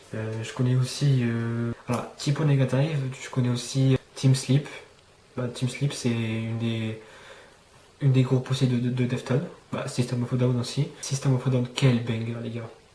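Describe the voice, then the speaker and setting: There is noticeable background noise as a man talks in a monotone, flat intonation. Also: medium pitch for a man, fairly slow pace. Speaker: YouTuber. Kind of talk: casual vlog monologue. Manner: halting, many fillers.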